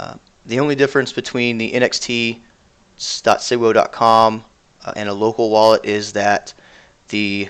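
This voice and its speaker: A man with an ordinary speaking voice talks at a moderate pace in a medium pitch, his intonation fairly even. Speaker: cryptocurrency developer answering community questions. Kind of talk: live-stream Q&A. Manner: casual, many fillers.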